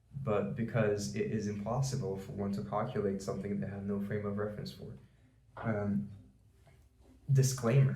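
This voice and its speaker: Audible room echo carries a man's fairly low voice with a Portuguese accent. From Brazil. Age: 20s. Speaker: YouTuber. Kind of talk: rant. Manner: formal.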